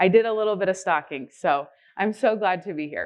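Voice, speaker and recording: A woman speaks loudly. Her pitch moves in an ordinary way. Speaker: healthcare spiritual care director. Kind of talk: conference presentation. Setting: conference stage with audience.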